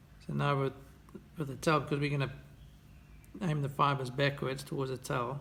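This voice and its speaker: A man with a fairly high pitch and vocal fry talks in a relaxed tone at a moderate pace, using monotone, flat intonation and long, frequent pauses. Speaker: fly tier. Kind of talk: tutorial. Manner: relaxed, with hesitations. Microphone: phone near.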